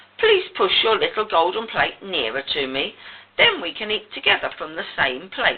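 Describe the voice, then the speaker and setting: A woman puts on a croaky character voice at medium pitch. She keeps a moderate pace. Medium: read story. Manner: insistent.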